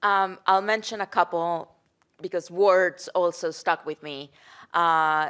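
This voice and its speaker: In a very clean recording with a silent background and a dry, close sound with no echo, a woman with a fairly low pitch speaks at a very slow pace, her intonation fairly even but her loudness swinging widely. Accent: Colombian. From Colombia. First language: Spanish. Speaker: worker center executive director. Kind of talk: panel discussion. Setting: post-screening panel before live audience.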